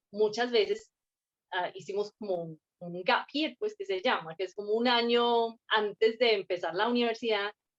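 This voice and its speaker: On a dry, close recording with no echo, a woman with a slight non-native accent speaks at a fairly slow pace in a fairly high pitch with ordinary pitch variation. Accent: hardly any foreign accent in Spanish. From Scotland, Fife. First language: English (speaking Spanish). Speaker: guest interviewee. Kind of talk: interview. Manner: hesitant, many fillers.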